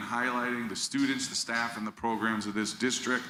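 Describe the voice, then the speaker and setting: A man with a medium-pitched voice is heard amid noticeable background noise and audible room echo. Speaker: school district communications staff. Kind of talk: presentation to school board.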